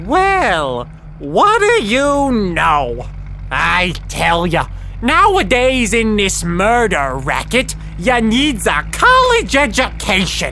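Over clear background noise, a female-sounding voice speaks very slowly at a very even loudness. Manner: cocky, streetwise.

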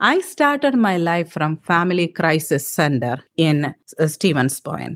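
Speaking at a fairly slow pace, a woman has an Indian accent and a fairly low pitch. Her intonation is lively. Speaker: political candidate. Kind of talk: interview.

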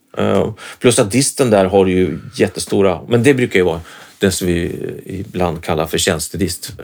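A man with a very deep, low voice speaks at a moderate pace with lively intonation. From Sweden, Norrköping. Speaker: guitarist and guitar teacher. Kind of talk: casual chat. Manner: halting.

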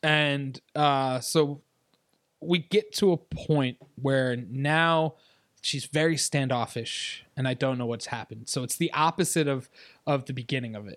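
An unremarkable speaking voice with an American accent, at a fairly slow pace with ordinary pitch variation and big swings in loudness, on a very clean, dry, close recording with no echo and a silent background. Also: man, fairly high pitch for a man. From upstate New York. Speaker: podcast guest. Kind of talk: casual chat.

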